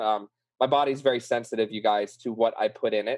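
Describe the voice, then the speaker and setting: The speaker is a man with a medium pitch. His pace is moderate. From New Orleans, Louisiana. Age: 30s. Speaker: bipolar disorder survivor, therapy student. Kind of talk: interview, personal testimony.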